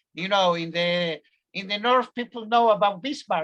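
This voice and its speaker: A man with a slight Spanish accent speaks at a high pitch. His pace is moderate and his pitch varies in an ordinary way. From Argentina, Buenos Aires. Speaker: professor. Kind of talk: lecture. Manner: halting, many fillers.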